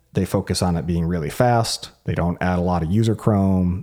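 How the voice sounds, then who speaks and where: Mumbling at a moderate pace, a man with a dark, mellow tone is heard in a very clean recording with a silent background. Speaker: solo tech podcast host. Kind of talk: solo monologue podcast. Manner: halting, many fillers and repeats.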